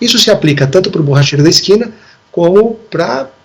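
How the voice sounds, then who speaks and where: A man speaks fairly quickly while noticeable background noise carries on behind him. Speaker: lawyer. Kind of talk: TV interview. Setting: video call. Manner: fast.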